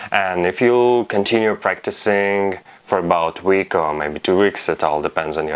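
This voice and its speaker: At a moderate pace, a man talks in a very deep, low voice with ordinary pitch variation. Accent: non-native. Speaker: fingerboard instructor. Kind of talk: tutorial instruction to camera.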